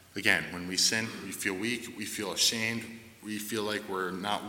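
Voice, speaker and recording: In a room with audible echo, a man talks at a fairly low pitch with monotone, flat intonation. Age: 20s. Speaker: church member sharing testimony. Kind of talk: testimony.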